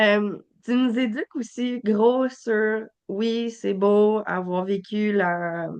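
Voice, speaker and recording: Speaking very slowly, a woman talks with a Quebec accent. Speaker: podcast host. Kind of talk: podcast interview. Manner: halting.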